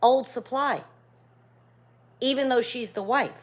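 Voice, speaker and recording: This woman has a high-pitched voice and an animated tone. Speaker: relationship coach and video creator. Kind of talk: casual talking-head monologue.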